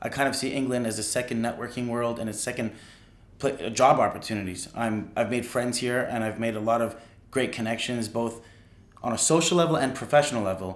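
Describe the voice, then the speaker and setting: Over audible room echo, a man with a Canadian accent speaks fairly quickly at a medium pitch with fairly even intonation. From Canada. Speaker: screenwriting graduate. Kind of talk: testimonial interview.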